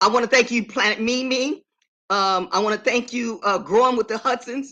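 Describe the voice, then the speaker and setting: A woman's animated, bright, sharp voice at a fairly high pitch. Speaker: vlogger. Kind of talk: live stream chat. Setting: live stream. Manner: fast.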